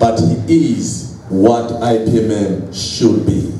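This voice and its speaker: A man at medium pitch speaks at a very slow pace. Audible room echo and noticeable background noise come through. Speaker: professional association representative. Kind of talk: speech at book launch. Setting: hotel event hall with audience. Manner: formal.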